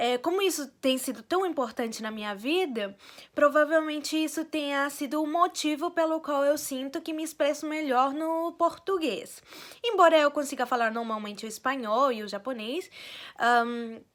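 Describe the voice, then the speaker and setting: This woman's voice is high-pitched, with lively intonation. She speaks at a moderate pace. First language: Spanish (speaking Portuguese). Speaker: vlogger. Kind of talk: casual personal vlog. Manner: hesitant, many fillers.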